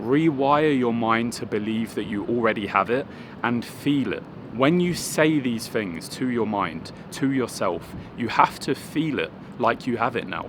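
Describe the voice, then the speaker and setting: Noticeable background noise sits behind a man speaking fairly slowly at medium pitch with ordinary pitch variation. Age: 20s. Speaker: fitness coach. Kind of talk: motivational talk.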